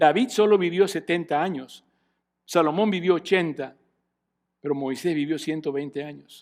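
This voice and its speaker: In a very clean recording with a silent background, a man speaks at a moderate pace with a fairly high pitch. His loudness swings widely, with ordinary pitch variation and long, frequent pauses. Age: 60s. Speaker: pastor. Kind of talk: sermon.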